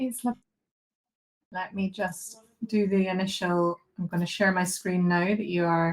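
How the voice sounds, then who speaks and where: A woman with a strong Scottish accent speaks at a medium pitch and moderate pace, her voice somewhat breathy. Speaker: behaviour analyst, presenter. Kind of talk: online lecture.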